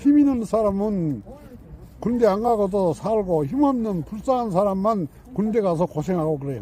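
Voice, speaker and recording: A man's high-pitched voice at a moderate pace, full of lively intonation. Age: 80s+. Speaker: war veteran. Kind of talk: interview answer.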